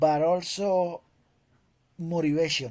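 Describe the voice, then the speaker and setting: Someone with a Spanish accent speaks at a very slow pace. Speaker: English teacher. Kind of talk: conversation class. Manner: halting, many repetitions.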